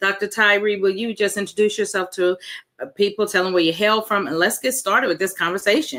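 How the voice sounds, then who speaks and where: Very fast and at very even loudness, a woman speaks at medium pitch with a bright, sharp tone. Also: ordinary pitch variation. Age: 60s. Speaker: talk show host. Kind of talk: live talk show.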